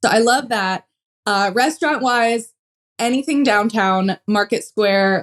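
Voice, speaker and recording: A woman with an unremarkable speaking voice, fairly high pitch and ordinary pitch variation, at a moderate pace on a very clean recording with a silent background. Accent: American. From western Pennsylvania. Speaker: pole vaulter. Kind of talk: casual interview.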